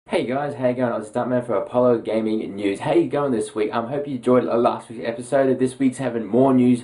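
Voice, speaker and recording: This man has an Australian accent. He talks very fast. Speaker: gaming news presenter. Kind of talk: casual news roundup.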